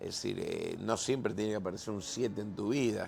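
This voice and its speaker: The man speaks at a fairly slow pace. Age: 60s. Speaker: pastor. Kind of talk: casual chat. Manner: halting.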